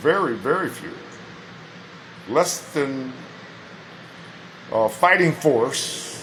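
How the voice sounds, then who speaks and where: Amid audible room echo and noticeable background noise, a man with an American accent and a fairly high pitch talks at a very slow pace with lively intonation and long, frequent pauses. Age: 60s. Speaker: chaplain. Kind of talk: monologue to camera.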